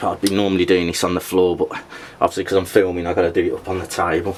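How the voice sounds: The speech moves at a fast pace with monotone, flat intonation. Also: man, low pitch for a man.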